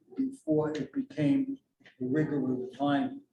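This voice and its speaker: A man with a New York accent speaks at a fairly high pitch and a moderate pace. His voice is somewhat breathy, with fairly even intonation. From New York City. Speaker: author and educator. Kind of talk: presentation to community meeting.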